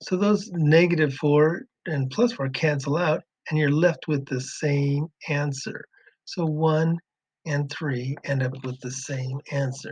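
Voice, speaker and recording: A somewhat breathy man at a fairly high pitch, very slow, with ordinary pitch variation and a dry, close sound with no echo. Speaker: math teacher. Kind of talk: tutorial.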